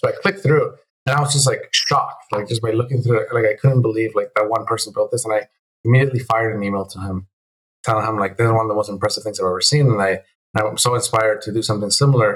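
The speaker talks at a very fast pace with a Spanish accent. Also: man. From Venezuela, moved to the US at nine. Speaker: game developer. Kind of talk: casual interview chat. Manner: halting, many repeated words.

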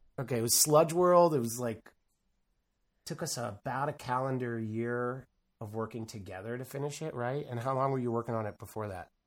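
With a plain, everyday voice, a man talks at a fairly quick pace and a medium pitch, with ordinary pitch variation. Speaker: video game developer. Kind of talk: casual chat.

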